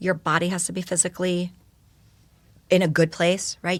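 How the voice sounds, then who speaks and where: On a very clean recording with a silent background, a woman talks with a New York accent. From New York, Yonkers. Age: 40s. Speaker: educator and speaker. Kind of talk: podcast interview.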